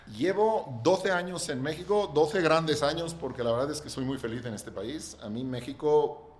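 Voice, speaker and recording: Lively, fairly high male speech at a moderate rate, against clearly audible background noise. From Catalonia, Spain. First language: Catalan (speaking Spanish). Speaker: real estate developer. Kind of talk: podcast interview.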